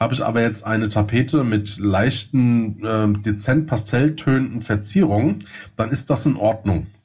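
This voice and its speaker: Speaking with a slight Hessian accent, a man's somewhat breathy, medium-pitched voice holds a moderate pace, ordinary pitch variation and very even loudness. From Hesse, Germany. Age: 30s. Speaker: podcast co-host. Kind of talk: casual chat.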